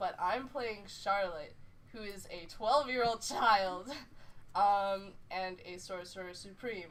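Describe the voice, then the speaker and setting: Audible room echo surrounds a woman speaking at a fairly slow pace. Her medium pitch has ordinary variation. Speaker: tabletop game player. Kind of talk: casual chat. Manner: loud.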